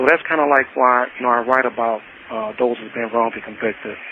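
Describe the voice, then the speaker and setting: Over noticeable background noise, a man with an American accent talks very fast with fairly even intonation. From Detroit, Michigan. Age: 60s. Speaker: prisoner and writer. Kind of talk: interview.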